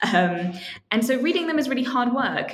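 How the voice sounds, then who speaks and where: A woman with a British accent talks at a fairly quick pace over noticeable background noise. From UK, partly raised in Tokyo. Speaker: author and literary translator. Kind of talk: interview.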